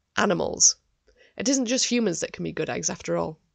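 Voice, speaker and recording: A woman talks at a very fast pace with vocal fry. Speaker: podcast host. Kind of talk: scripted narration.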